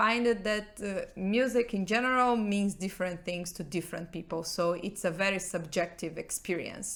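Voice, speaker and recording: A woman with a Portuguese accent at medium pitch, fairly slow in pace and fairly even in intonation. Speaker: rock band member. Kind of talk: podcast interview.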